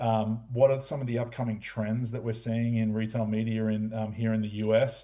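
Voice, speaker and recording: A man's medium-pitched voice, dark and mellow, at a moderate pace with hardly any pauses, flat monotone delivery and audible room echo. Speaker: retail media executive. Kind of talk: conference presentation. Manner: hesitant, many fillers.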